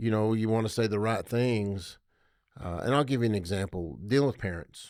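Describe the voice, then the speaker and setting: This man has an ordinary speaking voice, fairly low in pitch, with ordinary pitch variation. He talks at a fairly quick pace on a very clean recording with a silent background. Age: 60s. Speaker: school athletics administrator. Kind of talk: casual podcast interview.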